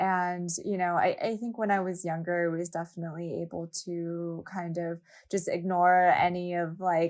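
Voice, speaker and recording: In a West Coast US accent, a woman with fairly low pitch speaks at a moderate pace in a monotone, flat way, on a very clean recording with a silent background. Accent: General American, West Coast. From Southern California, Los Angeles. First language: Japanese. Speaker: fashion brand founder and nonprofit co-founder. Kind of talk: podcast interview.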